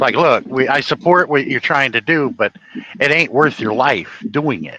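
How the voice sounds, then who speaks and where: With a New England accent and lively intonation, the voice moves at a moderate pace in a dry, close sound with no echo, over noticeable background noise. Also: man, fairly high pitch for a man. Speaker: livestream host. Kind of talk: casual chat.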